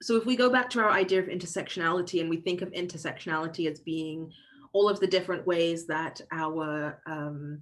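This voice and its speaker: A woman with a London accent talks at a moderate pace in a fairly low pitch. Her pitch varies in an ordinary way over a quiet background. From southeast London, England. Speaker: diversity and inclusion workshop facilitator. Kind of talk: online workshop.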